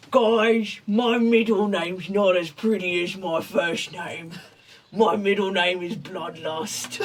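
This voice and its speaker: The speaker uses a raspy, put-on character voice. The delivery is fairly slow, with fairly even intonation. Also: man, high pitch for a man. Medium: actual play.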